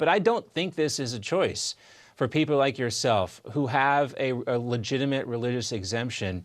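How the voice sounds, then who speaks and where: This man has a plain, everyday voice at medium pitch with ordinary pitch variation. The background is quiet. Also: moderate pace. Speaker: TV news host. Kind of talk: TV news interview. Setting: TV studio.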